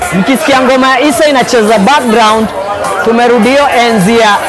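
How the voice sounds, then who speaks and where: With ordinary pitch variation, a man talks while music plays in the background. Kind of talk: interview answer. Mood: excited, grateful after show. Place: cafe. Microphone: lapel.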